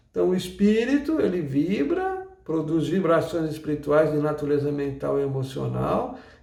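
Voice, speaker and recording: A man at a moderate pace with hardly any pauses, audible room echo and noticeable background noise. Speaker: umbanda teacher. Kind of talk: lecture.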